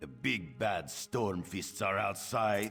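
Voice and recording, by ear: A man's put-on character voice, fairly low with vocal fry and a slightly husky edge, lively intonation and a slow pace, faint music in the background.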